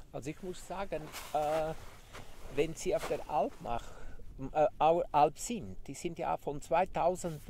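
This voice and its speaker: A man speaks very slowly in a dark, mellow tone at a fairly high pitch, with vocal fry and very wide pitch swings. The sound is dry with no echo, over light background noise. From Graubünden, Switzerland. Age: 50s. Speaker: sheep farmer; interviewee. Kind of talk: interview. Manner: halting. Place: open country.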